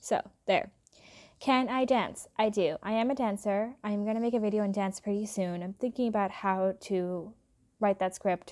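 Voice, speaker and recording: With a slight British accent and a dark, mellow tone, a woman is captured in a very clean recording against a silent background. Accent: slight British accent on some words. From England and Philadelphia area. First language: Hindi. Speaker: YouTuber. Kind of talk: casual vlog chat. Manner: relaxed.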